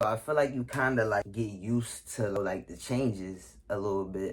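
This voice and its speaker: At a moderate pace, a man talks with a fairly low pitch and ordinary pitch variation. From Philadelphia, US. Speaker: YouTuber. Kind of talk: casual Q&A vlog. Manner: casual, filler-heavy.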